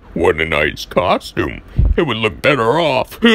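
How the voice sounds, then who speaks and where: A man performs a cartoonish character voice. His pitch sits in the middle range and his pace is moderate. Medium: animatronic prop. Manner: sinister.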